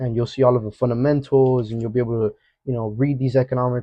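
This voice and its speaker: Here a man talks at a very fast pace with an energetic tone. His pitch is medium. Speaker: forex trading educator. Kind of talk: market analysis tutorial. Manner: casual, energetic.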